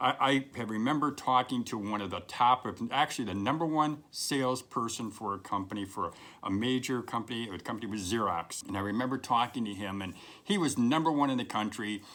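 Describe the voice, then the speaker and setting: The man's bright, sharp tone shows ordinary pitch variation on a very clean recording with a silent background. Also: medium pitch for a man, fairly quick pace. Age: 60s. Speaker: career advice video host. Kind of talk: direct-to-camera advice talk. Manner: conversational, emphatic with repetitions.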